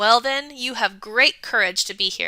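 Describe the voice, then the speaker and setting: A woman growls in a put-on character voice with a high pitch. The recording is very clean, with a silent background. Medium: read story. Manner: gruff, weighty.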